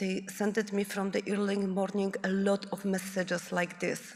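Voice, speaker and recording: The speaker talks at a fairly slow pace with a non-native accent. Vocal fry runs through the voice. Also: woman. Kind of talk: conference presentation. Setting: conference room with audience. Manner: halting.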